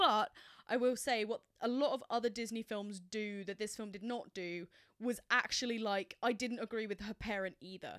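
In an English accent, a woman speaks at a fairly high pitch. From England. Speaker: film podcast co-host. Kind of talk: casual chat. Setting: home spare bedroom office.

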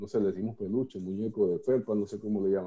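A man speaks at a fairly quick pace in a fairly low, dark, mellow voice with fairly even intonation. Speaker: workshop participant. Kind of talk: personal sharing in workshop. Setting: video call.

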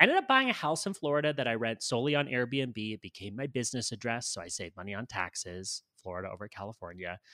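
A man with a Canadian accent talks at a very fast pace with hardly any pauses, his bright, sharp tone carrying lively intonation and big swings in loudness. The sound is dry and close with no echo. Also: medium pitch for a man, very clean recording, silent background. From Canada. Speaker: personal branding consultant and digital nomad. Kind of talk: interview conversation.

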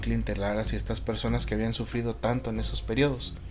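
A man's voice with audible room echo. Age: 20s. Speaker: podcast host. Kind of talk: solo monologue podcast.

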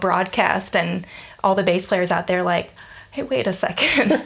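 Amid noticeable background noise, a woman with an American accent speaks at a medium pitch and moderate pace, with fairly even intonation. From US South (Georgia). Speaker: bass player and teacher. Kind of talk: casual interview. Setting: at host's place.

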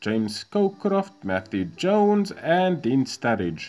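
Here a man speaks at a fairly slow pace. His pitch swings very widely. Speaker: YouTuber playing a football video game. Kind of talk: gameplay commentary. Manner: reading out match results.

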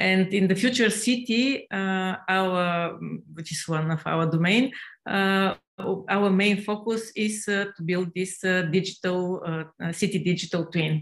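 A woman talks at a very slow pace with a Bulgarian accent. Her intonation stays fairly even. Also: medium pitch for a woman. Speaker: professor. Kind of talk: panel discussion. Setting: video call.

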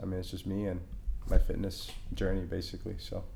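Audible room echo follows a man's voice. He talks at a very fast pace. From Honduras. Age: 20s. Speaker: fitness trainer. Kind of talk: casual interview.

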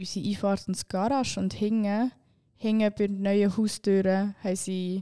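A woman speaks in a monotone with flat intonation, her dark, mellow tone at a medium pitch, recorded very cleanly against a silent background with a dry, close sound and no echo. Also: moderate pace. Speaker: podcast co-host. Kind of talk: casual chat.

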